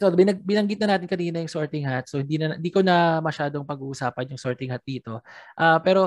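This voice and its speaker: In a quiet background with a dry, close sound and no echo, a woman speaks at a very deep, low pitch with ordinary pitch variation. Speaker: podcast host. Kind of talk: casual chat. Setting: remote call.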